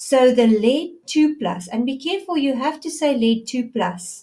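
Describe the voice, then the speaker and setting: Speaking at a fairly slow pace, a woman uses a high voice with lively intonation. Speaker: science teacher. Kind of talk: lecture.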